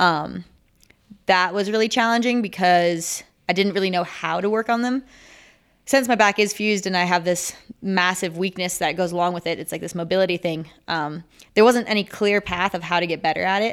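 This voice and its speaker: An unremarkable speaking voice from a woman with an American accent, medium in pitch with ordinary pitch variation, at a fairly quick pace on a very clean recording with a silent background. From Minnesota. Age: 20s. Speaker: Olympic sport climber. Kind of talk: interview.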